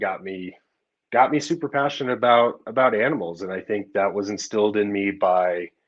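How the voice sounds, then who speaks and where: This is an ordinary speaking voice at a moderate pace. The background is quiet. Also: man. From US, grew up in several states. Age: 30s. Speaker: snake breeder. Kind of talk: podcast interview.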